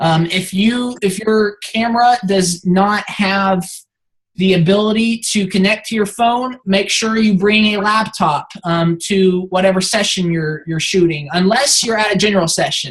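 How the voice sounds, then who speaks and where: At a fairly slow pace, this somewhat breathy voice carries ordinary pitch variation. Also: woman, medium pitch for a woman. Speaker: team lead briefing photographers. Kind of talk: instructional team briefing.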